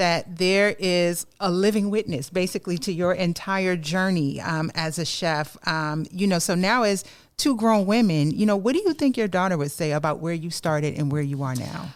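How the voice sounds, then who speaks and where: In an American accent, a normal speaking voice goes at a moderate pace with ordinary pitch variation and hardly any pauses. The recording is very clean with a silent background. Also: woman, fairly low pitch for a woman. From New York, the Bronx. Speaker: podcast host. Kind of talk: podcast interview. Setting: studio.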